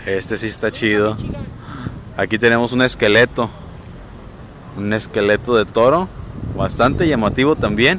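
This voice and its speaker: Over light background noise, a man speaks at a moderate pace with ordinary pitch variation and long, frequent pauses, the sound dry with no echo. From Mexico, Pitillal (Puerto Vallarta, Jalisco). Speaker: local news reporter. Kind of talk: live stream walkthrough reporting. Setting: outdoors on the seafront promenade. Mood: relaxed, admiring. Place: waterside. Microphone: phone near.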